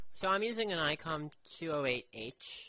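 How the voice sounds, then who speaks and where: A man speaks softly, his tone bright and sharp. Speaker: amateur radio operator. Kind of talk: radio net conversation. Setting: two-way radio. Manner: soft-spoken. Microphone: low audio, radio without mic gain.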